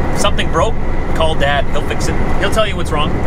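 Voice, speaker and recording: Loud background noise surrounds a man whose voice comes through with a dry sound and no echo. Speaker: truck driver vlogger. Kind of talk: casual vlog chat. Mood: relaxed, fond. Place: car. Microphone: camera far.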